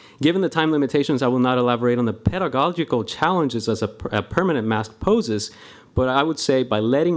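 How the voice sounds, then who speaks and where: In a Spanish accent, a man with a fairly high voice speaks fairly quickly with lively intonation on a very clean recording with a silent background. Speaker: school staff member, public commenter. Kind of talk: public comment at board meeting.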